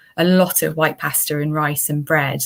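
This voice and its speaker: On a very clean recording with a silent background, a woman with a Welsh accent speaks in a monotone, flat intonation. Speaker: dietitian. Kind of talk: interview.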